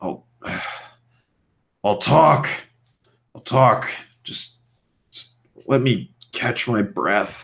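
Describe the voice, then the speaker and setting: A man puts on a raspy character voice at a medium pitch, speaking very slowly. His loudness swings widely, and he leaves long, frequent pauses. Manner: weak, labored, coughing.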